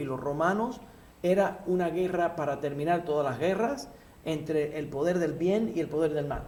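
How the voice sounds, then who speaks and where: Audible room echo surrounds the recording. The man's pitch is fairly high. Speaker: rabbi teaching a class. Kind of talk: religious lecture.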